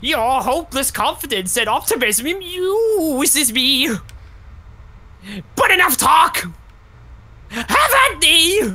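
It is a put-on character voice with a high pitch. The delivery is fairly slow, broken by long, frequent pauses. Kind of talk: comic overacting. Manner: pompous, blustering.

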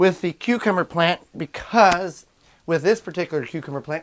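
A man at a moderate pace, with ordinary pitch variation. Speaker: home gardener host. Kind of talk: tutorial. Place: home room. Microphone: phone near.

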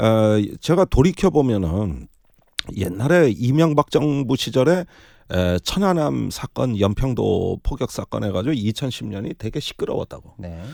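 Very clean recording, silent background, dry and close with no echo. A man speaks very slowly with very wide pitch swings. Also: medium pitch for a man. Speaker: political commentator, former lawmaker. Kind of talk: political commentary talk. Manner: animated.

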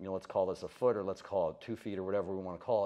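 A man's dark, mellow voice at a very fast pace, fairly even intonation, and a quiet background. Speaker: fitness coach. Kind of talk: lecture. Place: meeting room.

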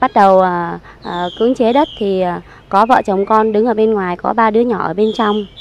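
At a moderate pace, a woman speaks in a fairly high pitch with ordinary pitch variation, the sound dry with no echo. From Saigon, Vietnam. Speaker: evicted resident. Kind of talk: testimony. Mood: aggrieved, earnest recounting. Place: garden. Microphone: handheld.

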